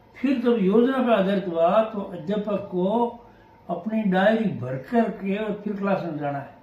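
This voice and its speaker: A man speaks at a high pitch with ordinary pitch variation. Noticeable background noise runs under his voice. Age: 70s. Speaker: retired senior teacher. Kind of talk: interview.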